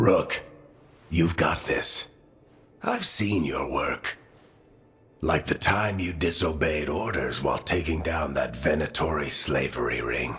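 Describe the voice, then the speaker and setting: In a put-on character voice, a man speaks with a very deep, low pitch and long, frequent pauses. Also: fairly slow pace. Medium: video game. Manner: wry, casual.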